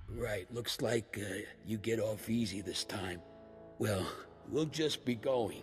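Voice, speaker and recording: Putting on a raspy character voice with a fairly low pitch, a man speaks fairly slowly with long, frequent pauses as clear music plays in the background. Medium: video game.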